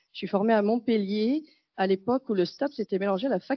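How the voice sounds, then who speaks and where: Fairly high female speech, its pitch varying in the ordinary way. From France. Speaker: gerontology researcher and professor. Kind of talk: conference talk. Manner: fast; animated.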